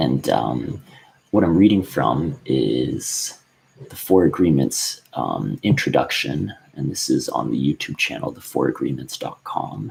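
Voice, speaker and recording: Whispering, a man speaks at a fairly slow pace. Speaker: book recommender vlogger. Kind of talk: casual monologue with reading aloud. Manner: halting, many fillers.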